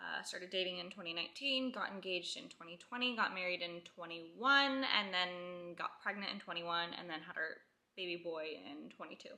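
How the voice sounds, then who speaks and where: Talking at a fairly quick pace with hardly any pauses, a woman uses an ordinary speaking voice. Her pitch is medium, with ordinary pitch variation. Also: big swings in loudness. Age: 20s. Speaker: stay-at-home mom vlogger. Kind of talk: casual Q&A vlog. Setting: at home on couch. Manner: chatty, rambling filler.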